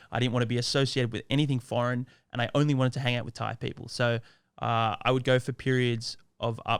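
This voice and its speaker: In a very clean recording with a silent background, a man with an Australian accent talks at a fairly quick pace, his medium pitch delivered in a flat monotone. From Australia, Sydney. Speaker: Thai language content creator. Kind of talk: podcast interview. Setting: studio.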